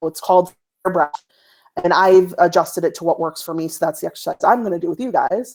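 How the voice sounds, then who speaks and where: A woman at a medium pitch, talking at a very fast pace with ordinary pitch variation. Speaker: postpartum doula and podcast cohost. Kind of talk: guided breathing exercise.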